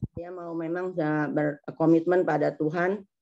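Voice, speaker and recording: Against a quiet background, a woman talks at a fairly slow pace with monotone, flat intonation and a dark, mellow tone. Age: 60s. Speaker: congregation member giving testimony. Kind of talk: testimony. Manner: halting.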